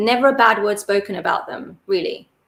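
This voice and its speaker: Speaking at a moderate pace with an English accent, a woman uses a fairly high pitch. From Britain. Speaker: cricket panelist. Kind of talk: casual chat. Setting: live stream recording.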